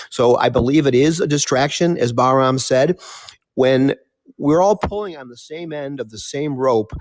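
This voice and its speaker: Speaking at a moderate pace in an unremarkable speaking voice, a man with a fairly high pitch and ordinary pitch variation shows big swings in loudness on a very clean recording with a silent background. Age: 60s. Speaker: participant in discussion. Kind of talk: casual discussion.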